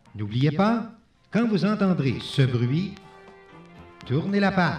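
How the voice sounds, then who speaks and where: Over music in the background, a man speaks at a very slow pace with a high pitch. His pitch swings very widely while his loudness stays very even. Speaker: narrator. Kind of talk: read-along children's story record.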